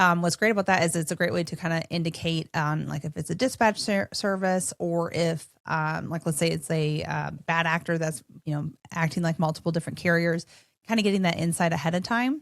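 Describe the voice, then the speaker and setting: A woman with a northern US accent speaks at a fairly quick pace in a fairly low pitch, with ordinary pitch variation. The recording is very clean, with a silent background. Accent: northern-sounding US. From Minnesota, US Midwest. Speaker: podcast host. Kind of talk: casual interview chat. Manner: casual, filler-heavy.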